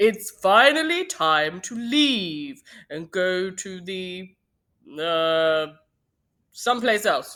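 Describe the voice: A booming, put-on character voice at middle pitch moves very slowly with long, frequent pauses, lively intonation and big swings in loudness. The recording is very clean, with a silent background.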